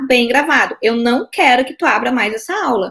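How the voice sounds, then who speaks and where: With a strong Porto Alegre accent, a woman speaks at a moderate pace in a high-pitched, bright, sharp voice with lively intonation. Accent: strong Porto Alegre (gaúcho). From southern Brazil, Porto Alegre. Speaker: court officer and exam-prep teacher. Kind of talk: casual interview chat.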